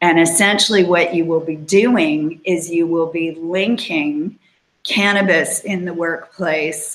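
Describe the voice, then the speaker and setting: A woman's booming voice, fairly low in pitch, moves at a very slow pace with fairly even intonation. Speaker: employment lawyer hosting a webinar. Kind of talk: informational webinar talk. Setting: online broadcast.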